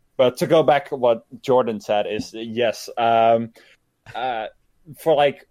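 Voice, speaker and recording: A man talks at a medium pitch with a slight Dutch accent. The recording is very clean with a silent background. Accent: light Dutch accent in English. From Netherlands. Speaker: gaming streamer. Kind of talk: casual chat. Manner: halting.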